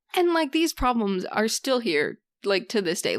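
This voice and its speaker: A woman with a Canadian prairie accent at a moderate pace, on a very clean recording with a silent background. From Canada, southern Saskatchewan (rural). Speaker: interview guest discussing mental health. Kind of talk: casual interview conversation. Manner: gets loud when excited.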